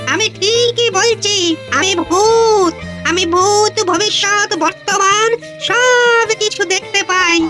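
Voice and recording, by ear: A cartoonish character voice at an extremely high pitch and very slow pace, over clear background music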